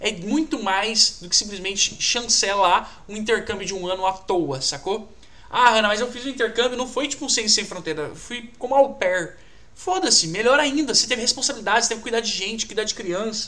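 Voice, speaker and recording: A man's raised, projected voice, high in pitch, with ordinary pitch variation at a fairly quick pace. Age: 20s. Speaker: career coach. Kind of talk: live stream talk. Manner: animated; casual slangy.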